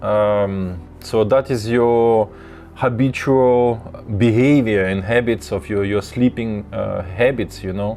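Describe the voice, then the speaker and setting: Music plays in the background. A man speaks at a fairly low pitch and a very slow pace. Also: ordinary pitch variation. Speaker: lucid dreaming teacher. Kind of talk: live tutorial. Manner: halting, many fillers and repeats.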